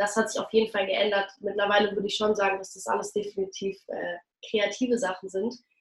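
A woman speaks at a very fast pace and medium pitch. Her intonation is monotone and flat, with big swings in loudness. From Berlin, Germany. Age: young. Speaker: actress and singer. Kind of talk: interview.

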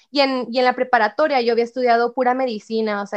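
A woman speaks at a fairly quick pace with fairly even intonation in an ordinary speaking voice. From Mexico, Ciudad Juárez, Chihuahua. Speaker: university student. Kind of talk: casual chat.

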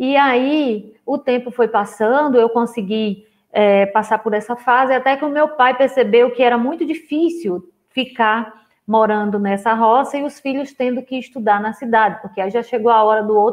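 A woman speaks in an ordinary speaking voice, pitched fairly high. Her pace is moderate and her pitch variation ordinary. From rural Brazil. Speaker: therapist and coach. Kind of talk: online live lecture. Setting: livestream with screen share. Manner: casual, warm.

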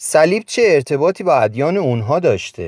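A man speaks with very wide pitch swings in a dry, close sound with no echo. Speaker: author reading from his own book as a podcast. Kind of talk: scripted narration.

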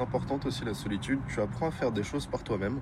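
A medium-pitched man rattles off his words at a very fast pace while noticeable background noise carries on. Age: 20s. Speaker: guest sharing personal story. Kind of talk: testimony. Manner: halting.

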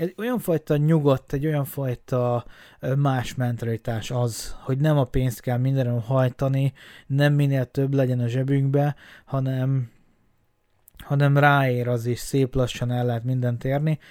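Monotone and flat, a man's voice holds a medium pitch. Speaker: podcaster. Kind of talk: solo monologue. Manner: halting, many fillers.

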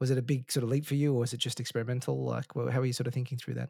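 In a dry, close sound with no echo, a man speaks at a medium pitch with a dark, mellow tone. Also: very clean recording, silent background. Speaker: podcast host. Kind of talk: casual interview chat.

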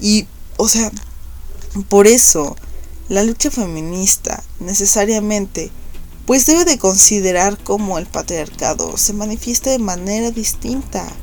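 A woman of medium pitch speaks at a fairly slow pace with ordinary pitch variation and long, frequent pauses, against noticeable background noise. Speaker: podcast host. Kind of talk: monologue commentary. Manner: hesitant, many fillers.

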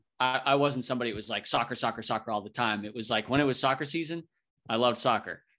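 Against a quiet background, a man with an American accent talks at a very fast pace in a bright, sharp tone with ordinary pitch variation. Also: medium pitch for a man. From New Hampshire, US. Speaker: former soccer defender. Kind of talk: casual chat.

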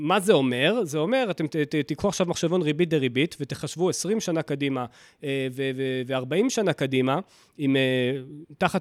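What comes through is an unremarkable speaking voice, with ordinary movement in pitch. The sound stays dry and close, free of echo. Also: man, very clean recording, silent background. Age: 30s. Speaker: personal finance podcaster. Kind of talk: solo podcast monologue.

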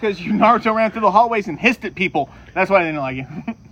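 With noticeable background noise behind him, a man talks at a very fast pace in a high pitch. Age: 30s. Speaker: podcast co-host. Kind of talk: casual chat.

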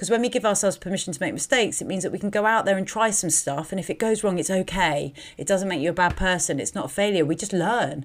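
A woman's medium-pitched voice with a British accent at a very fast pace, with hardly any pauses, on a very clean recording with a silent background. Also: ordinary pitch variation. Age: 30s. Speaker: life coach and podcast host. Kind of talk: solo podcast monologue. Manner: hesitant, many fillers.

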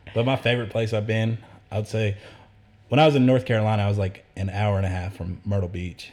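Over a silent background in a very clean recording, a man talks at a very fast pace in a somewhat breathy voice. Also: fairly low pitch for a man. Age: 20s. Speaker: podcast guest, tattoo client. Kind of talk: casual chat.

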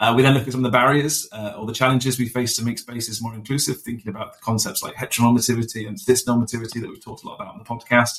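A man with a British accent, at medium pitch and a very fast pace. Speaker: podcast host.

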